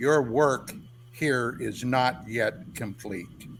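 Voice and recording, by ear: A man speaks in a put-on character voice at a very slow pace over clear background noise. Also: medium pitch for a man.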